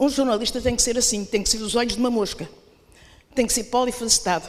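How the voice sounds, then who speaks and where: A woman speaks very fast in a high voice with fairly even intonation. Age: 80s+. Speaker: veteran journalist. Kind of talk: conference floor speech. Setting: congress hall with audience.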